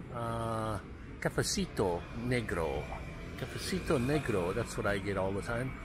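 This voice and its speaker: Speaking at a fairly slow pace, a man is heard in a dry space with no echo and noticeable background noise. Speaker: vlogger filming a walk. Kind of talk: casual vlog chat. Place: street. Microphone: phone near.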